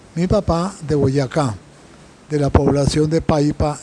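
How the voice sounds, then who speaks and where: Speaking at a very slow pace, a man uses a fairly high, somewhat breathy voice with a dark, mellow tone and ordinary pitch variation. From Colombia, Bogotá. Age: 90s. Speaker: Jesuit priest, interviewee. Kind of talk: interview. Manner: halting, many fillers and repetitions.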